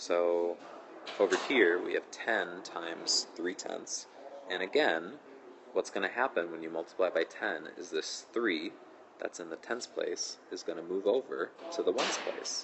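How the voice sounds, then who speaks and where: Soft-spoken, a man talks at a fairly slow pace. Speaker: math teacher. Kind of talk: tutorial. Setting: school auditorium during lunch detention.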